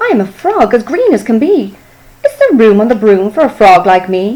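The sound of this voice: A woman puts on a croaky character voice, fairly high in pitch, and speaks at a moderate pace.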